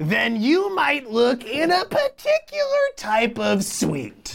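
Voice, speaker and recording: In a put-on character voice, a man speaks at an extremely high pitch. His pace is very slow. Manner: coy, teasing, riddling.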